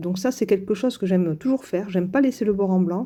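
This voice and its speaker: In a very clean recording with a silent background, a woman speaks in a dark, mellow tone with lively intonation. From southern France. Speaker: crafts youtuber. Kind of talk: tutorial. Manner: hesitant, many fillers.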